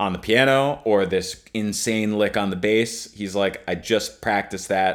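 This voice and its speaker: A man talks at a fairly slow pace in a normal speaking voice, fairly low in pitch. The recording is very clean with a silent background. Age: 30s. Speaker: trombonist and music professor. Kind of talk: casual chat.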